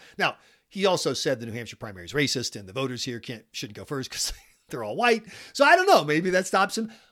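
In a very clean recording with a silent background, a man with an American accent talks at a very fast pace in a fairly high pitch, his bright, sharp voice showing vocal fry, very wide pitch swings and big swings in loudness. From South Carolina. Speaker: podcast host and news editor. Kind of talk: political news podcast commentary.

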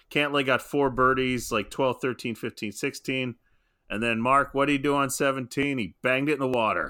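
A man at medium pitch and a moderate pace has an unremarkable speaking voice. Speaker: podcast host. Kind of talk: casual banter about golf. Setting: podcast recording. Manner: joking, teasing.

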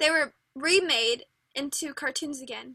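Raising and projecting her voice, a woman speaks in a high pitch with a bright, sharp tone and ordinary pitch variation. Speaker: podcast host. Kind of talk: casual chat. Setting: recording at home.

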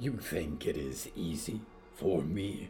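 Growling in a put-on character voice, a man speaks at a fairly slow pace with a very deep, low pitch, against clear background noise. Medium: audio drama. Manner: growling, solemn.

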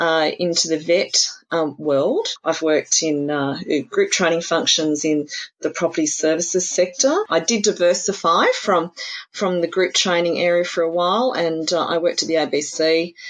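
A woman speaks in an Australian accent at a fairly slow pace, her pitch fairly low. Her loudness stays very even, and her pitch variation is ordinary. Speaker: apprenticeship network representative. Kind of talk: interview.

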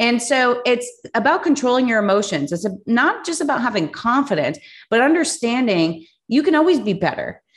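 Her high-pitched voice moves at a fairly quick pace, and this woman's pitch swings very widely. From Cuban heritage. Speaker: podcast host and business coach. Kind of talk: solo podcast monologue. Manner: animated.

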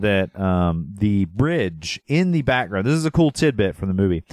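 A man's pitch swings very widely as he talks. The sound is dry and close with no echo, in a very clean recording with a silent background. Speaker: podcast host. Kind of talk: casual comedic movie podcast chat. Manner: joking, teasing.

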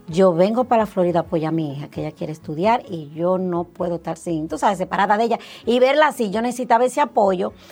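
With music in the background, a woman speaks very fast with lively intonation and hardly any pauses. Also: medium pitch for a woman. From Dominican Republic. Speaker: health insurance agency owner. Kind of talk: interview.

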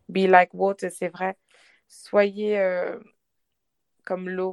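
The speech moves at a very slow pace. The sound is dry and close, with no echo. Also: woman. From Lyon, France. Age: 20s. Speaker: sales advisor and painter with endometriosis. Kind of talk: casual interview. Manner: halting.

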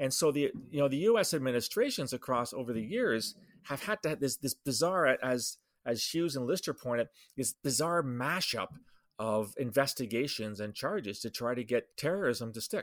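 A man with a Canadian accent uses a normal speaking voice with lively intonation at a moderate pace. The recording is very clean, with a silent background and a dry, close sound with no echo. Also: medium pitch for a man. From Canada. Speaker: security consultant and podcast host. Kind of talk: solo podcast commentary. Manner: casual with fillers and laughs.

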